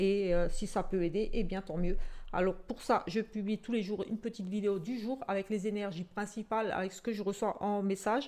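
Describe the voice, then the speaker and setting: A woman with a strong Alsatian accent speaks at a moderate pace. Her medium-pitched voice has a dark, mellow tone and fairly even intonation. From Alsace, France (Portuguese descent). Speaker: psychic tarot reader. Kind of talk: casual self-introduction to camera. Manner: hesitant, many fillers.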